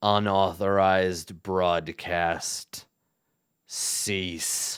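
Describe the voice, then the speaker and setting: A raspy, put-on character voice moves at a very slow pace with monotone, flat intonation. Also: man, very deep, low pitch for a man. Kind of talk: robotic announcement.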